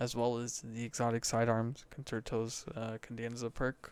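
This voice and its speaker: A soft-spoken man talks at a medium pitch. The recording is very clean, the background silent. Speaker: gaming content creator. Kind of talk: casual commentary on patch notes. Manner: quiet, soft-spoken; hesitant with fillers.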